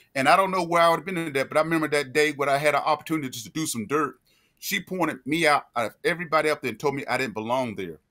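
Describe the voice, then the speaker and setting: A bright, sharp voice with a North Carolina accent talks at a very fast pace, its pitch rising and falling in an ordinary way. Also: man, fairly high pitch for a man. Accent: Southern US (North Carolina). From US South, Greensboro, North Carolina. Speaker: podcast co-host, military veteran. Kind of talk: casual storytelling.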